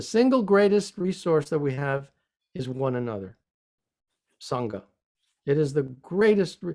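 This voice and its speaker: Recorded very cleanly against a silent background, an American-accented man with a dark, mellow tone speaks at a moderate pace, his fairly high pitch ranging in very wide swings. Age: 70s. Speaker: religious teacher. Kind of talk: interview. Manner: hesitant, many fillers.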